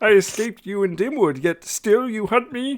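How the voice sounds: A growling put-on character voice, fairly high in pitch, delivered at a moderate pace.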